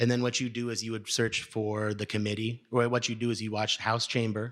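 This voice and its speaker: In a very clean recording with a silent background, a man speaks at a medium pitch and a fairly quick pace with monotone, flat intonation. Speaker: panelist on state legislation. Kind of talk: panel Q&A. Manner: fast.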